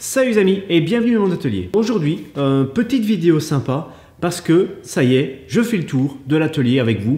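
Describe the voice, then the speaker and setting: Audible room echo surrounds the recording. A man speaks in a dark, mellow tone. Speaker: woodworking vlogger. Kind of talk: casual vlog chat. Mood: upbeat, friendly. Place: workshop. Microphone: camera far.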